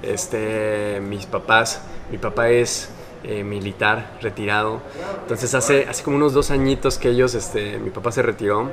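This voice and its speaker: Noticeable background noise sits behind a man at medium pitch. He talks at a moderate pace with ordinary pitch variation. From Mexico City. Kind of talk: casual interview. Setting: in person, recorded on camera.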